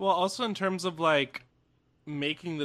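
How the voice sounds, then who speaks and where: An animated man with a bright, sharp tone and an American accent is heard on a very clean recording with a silent background. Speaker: podcast host. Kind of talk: casual comedic chat. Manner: animated, joking.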